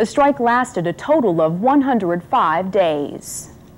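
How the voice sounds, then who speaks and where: A woman with an ordinary speaking voice, medium pitch, lively intonation and an American accent. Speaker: TV reporter and news anchor. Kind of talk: news anchor delivery.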